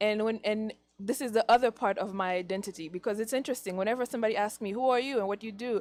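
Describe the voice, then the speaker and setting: With a Haitian accent, a woman talks at a very fast pace in a fairly high pitch and fairly even intonation. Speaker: teacher. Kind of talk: interview.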